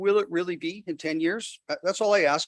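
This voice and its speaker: Very fast speech with lively intonation in a dry, close sound with no echo. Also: man. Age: 70s. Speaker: developer speaking at public hearing. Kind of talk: public hearing comment. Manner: animated.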